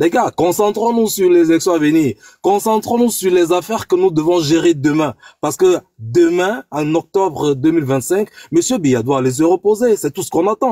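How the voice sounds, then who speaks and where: Pitched high with a dark, mellow tone, a man speaks at a moderate pace with lively intonation in a dry, close recording with no echo. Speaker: political debate participant. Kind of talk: online panel debate.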